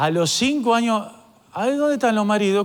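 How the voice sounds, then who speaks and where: Someone speaks in a Rioplatense accent over noticeable background noise. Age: 50s. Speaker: pastor. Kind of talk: sermon.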